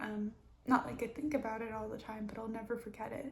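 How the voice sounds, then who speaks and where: A soft-spoken woman's fairly high voice, flat and monotone at a moderate pace, over noticeable background noise. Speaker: mental health vlogger. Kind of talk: personal story time. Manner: halting.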